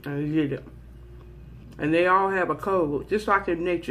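A moderate pace paired with fairly even intonation. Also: woman. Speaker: eating vlogger. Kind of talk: casual vlog chat. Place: office. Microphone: phone near.

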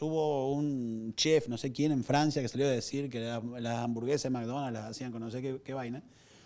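A man speaks at a fairly quick pace with an Argentine accent. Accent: Rioplatense Argentine Spanish. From Argentina, Buenos Aires. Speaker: communications executive; conference speaker. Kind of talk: lecture. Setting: stage with audience. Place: hall. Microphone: handheld.

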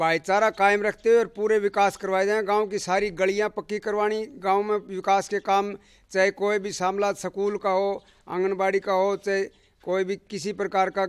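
Against a quiet background, a man speaks at a high pitch for a man. His intonation is monotone and flat, and the sound is dry and close with no echo. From Haryana. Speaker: villager. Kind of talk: interview.

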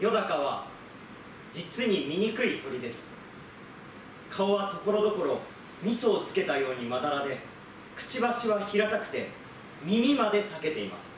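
Long, frequent pauses break up this man's high-pitched speech. Light background noise and audible room echo are present. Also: lively intonation, moderate pace. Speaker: theatre company actor; theatre actor doing a reading. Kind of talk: literary reading, storytelling narration. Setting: group reading recital. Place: stage. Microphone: camera far.

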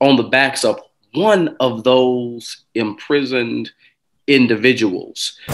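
Speech at a very slow pace, with ordinary pitch variation, comes over a quiet background. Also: man, medium pitch for a man. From Kentucky. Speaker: pastor. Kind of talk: panel discussion remarks. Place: home room. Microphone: video call.

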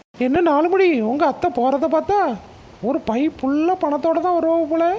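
A woman's cartoonish character voice, extremely high-pitched, at a moderate pace with ordinary pitch variation, over light background noise

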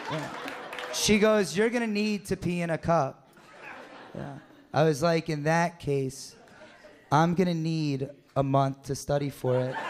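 A man talks at a fairly slow pace with long, frequent pauses and ordinary pitch variation over light background noise. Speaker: stand-up comedian. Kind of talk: stand-up. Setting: stage with audience. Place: stage. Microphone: handheld.

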